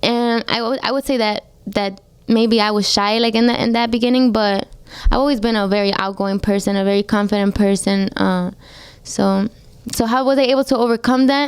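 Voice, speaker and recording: A woman with a Spanish accent, fairly high-pitched, fairly even in intonation, at a fairly quick pace. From Colombia, Medellin, moved to New York at ten. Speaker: singer. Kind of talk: radio interview. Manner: casual, heavy use of like.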